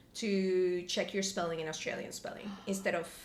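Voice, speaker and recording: With a Spanish accent, a woman speaks at a fairly quick pace in audible room echo. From Colombia. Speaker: podcast guest, graduate student. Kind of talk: casual chat. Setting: impromptu home interview. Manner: animated.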